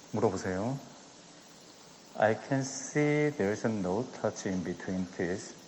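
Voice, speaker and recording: Soft-spoken, a man with a Korean accent talks at a fairly slow pace and fairly low pitch. His pitch varies in an ordinary way, with long, frequent pauses. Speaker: dentist doing live surgery demo. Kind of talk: live surgical demonstration. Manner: quiet, soft-spoken. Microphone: too quiet, hard to hear.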